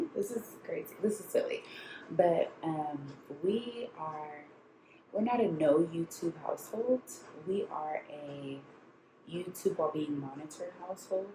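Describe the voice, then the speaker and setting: Over noticeable background noise, a woman speaks at a fairly slow pace and a fairly low pitch. Her intonation is lively, broken by long, frequent pauses. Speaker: lifestyle vlogger. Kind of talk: casual vlog talk. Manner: quiet.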